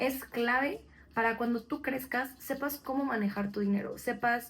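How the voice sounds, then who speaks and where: Speaking at a fairly slow pace with a Mexican accent, a woman uses a high pitch, fairly even intonation and very even loudness. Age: 20s. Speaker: podcast co-host. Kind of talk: casual podcast chat.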